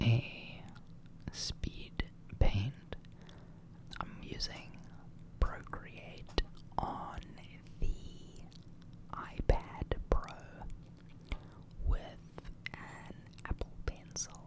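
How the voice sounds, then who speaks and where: The voice whispers in a calm tone at a very slow pace, with long, frequent pauses. Noticeable background noise sits beneath it. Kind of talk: ASMR drawing tutorial, whispered voice-over. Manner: whispered, soft, calm.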